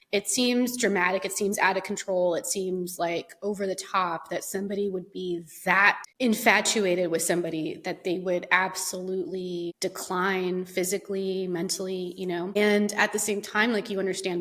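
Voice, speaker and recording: Over noticeable background noise, a woman at medium pitch speaks with fairly even intonation and hardly any pauses. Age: 30s. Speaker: podcast host. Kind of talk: casual chat. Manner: conversational, with fillers.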